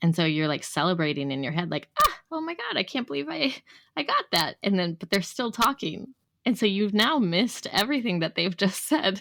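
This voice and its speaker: At a fairly quick pace, a woman of medium pitch makes very wide pitch swings, the sound dry and close with no echo. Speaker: English teacher and podcast co-host. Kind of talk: casual chat. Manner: conversational, natural pace.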